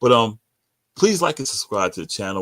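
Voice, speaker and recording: A man talks with a New York accent and ordinary pitch variation. The recording is very clean, with a silent background. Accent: New York (Bronx). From New York, the Bronx. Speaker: sports podcast host. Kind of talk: casual sports commentary. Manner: stuttering.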